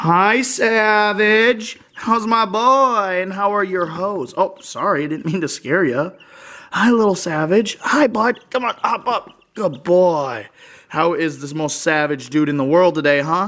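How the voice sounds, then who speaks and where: The speaker goes at a fairly slow pace over a quiet background. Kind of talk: casual vlog chat. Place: home room. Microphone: phone near.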